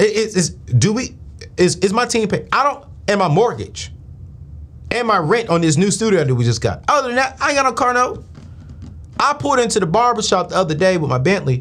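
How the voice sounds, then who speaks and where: In an animated tone, a man speaks in a high voice with very wide pitch swings and very even loudness, leaving long, frequent pauses. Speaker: finance show host. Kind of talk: live call-in show.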